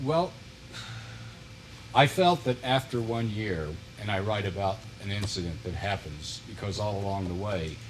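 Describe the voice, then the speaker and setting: A man with an American accent speaks at a fairly low pitch, his voice somewhat breathy. He leaves long, frequent pauses. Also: ordinary pitch variation, moderate pace. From US Midwest (northern Missouri Ozarks). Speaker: retired politician and author. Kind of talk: TV interview.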